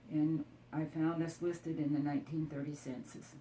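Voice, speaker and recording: A woman with a very deep, low voice talks fairly slowly in an American accent. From Iowa, US Midwest. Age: 80s+. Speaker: elderly local resident. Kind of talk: oral history interview. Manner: halting, with false starts.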